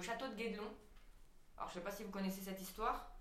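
Her intonation is fairly even and her pitch medium for a woman. Audible room echo surrounds the recording. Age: 20s. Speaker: stage actress and director. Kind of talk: casual chat.

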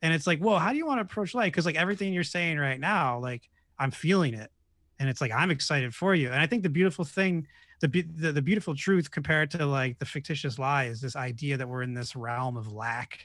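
A man's fairly high voice in an American accent, very fast with lively intonation, over a quiet background. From New York State. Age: 30s. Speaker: podcaster and meditation leader. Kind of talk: casual chat.

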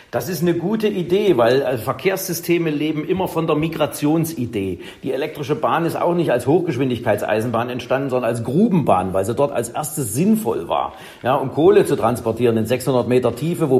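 Against noticeable background noise, a man with a fairly high voice speaks at a fairly quick pace with lively intonation and hardly any pauses. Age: 50s. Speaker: professor of electric transport systems. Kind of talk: interview.

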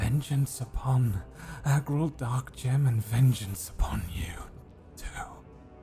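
A man puts on a character voice, his pitch medium and his delivery fairly slow. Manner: venomous, hateful.

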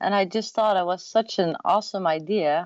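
A woman speaks with a Dutch accent at a fairly low pitch. Her intonation stays fairly even. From Netherlands. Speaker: mobile spray tanning business owner. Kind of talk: interview.

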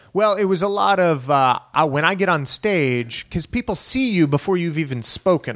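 Recorded very cleanly with a silent background and a dry, close sound with no echo, a man with an American accent speaks at a high pitch and a moderate pace with lively intonation. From Texas, El Paso. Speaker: stand-up comedian. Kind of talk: casual chat.

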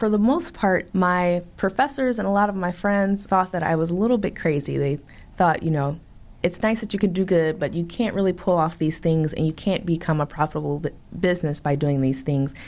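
With an American accent and a plain, everyday voice, a woman speaks fairly quickly at a fairly low pitch, her intonation lively. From Chicago south side. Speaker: bakery owner. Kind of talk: interview.

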